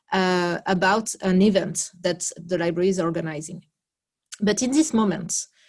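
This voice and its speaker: A woman speaks in a French accent at a moderate pace with ordinary pitch variation. The background is quiet. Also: medium pitch for a woman. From France. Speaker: library project worker. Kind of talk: video call presentation. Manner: halting, many fillers.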